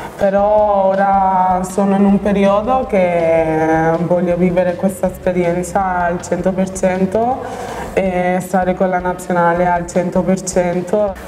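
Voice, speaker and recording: Very slowly and in a monotone, flat intonation, a woman talks at very even loudness amid audible room echo and light background noise. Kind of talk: interview answer. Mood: calm, reflective. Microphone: lapel.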